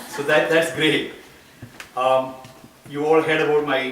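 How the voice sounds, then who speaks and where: A man with an Indian accent speaks at a moderate pace and a fairly high pitch, in a monotone, flat intonation. There is audible room echo and noticeable background noise. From India (Kerala). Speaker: school board candidate. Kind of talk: campaign speech. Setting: gathering in a private home.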